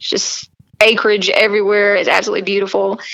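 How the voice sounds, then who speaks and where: This is a woman's voice. She speaks with a strong Southern accent. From US South, South Carolina. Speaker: fitness model and country singer. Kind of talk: podcast interview. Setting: remote call. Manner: animated.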